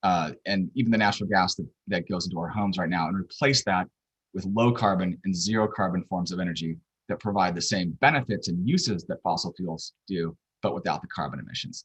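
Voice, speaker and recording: A man talks at a fairly quick pace in a very deep, low voice with ordinary pitch variation. The sound is dry and close, with no echo. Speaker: policy researcher presenter. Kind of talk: lecture. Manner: fast.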